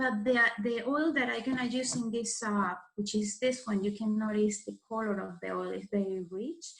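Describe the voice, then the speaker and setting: A woman in a Spanish accent, fairly high-pitched and somewhat breathy, at a fairly slow pace. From Venezuela. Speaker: florist and farmer leading a craft workshop. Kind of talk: tutorial. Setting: recorded video session. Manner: halting, many fillers.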